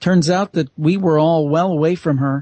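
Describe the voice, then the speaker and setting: A man talks at a moderate pace in an unremarkable speaking voice. His pitch is fairly high. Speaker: paranormal podcaster and author. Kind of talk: radio interview guest.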